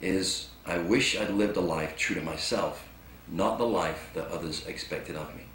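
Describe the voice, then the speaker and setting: A man with lively intonation, amid audible room echo and noticeable background noise. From England. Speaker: motivational speaker. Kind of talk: inspirational talk.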